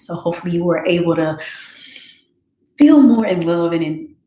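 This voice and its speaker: Soft-spoken and fairly low-pitched, a woman talks in a space with audible room echo. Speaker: meditation session host. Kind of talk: guided reflection after meditation. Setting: YouTube livestream. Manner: soft-spoken, low.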